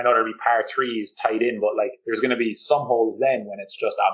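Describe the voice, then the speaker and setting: A man in a Cork accent at a moderate pace. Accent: Cork Irish. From Ireland, Cork. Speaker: golf fitness coach. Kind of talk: podcast interview. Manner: animated, uses many fillers.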